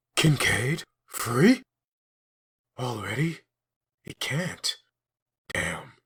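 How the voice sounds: A man puts on a character voice with a husky, rough edge and a fairly bright tone at a medium pitch. He speaks at a very slow pace with big pitch swings.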